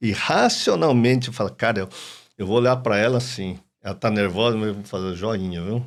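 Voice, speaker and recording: A man with a plain, everyday voice talks at a moderate pace on a very clean recording with a silent background. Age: 60s. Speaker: psychoanalyst and doctor. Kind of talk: podcast interview.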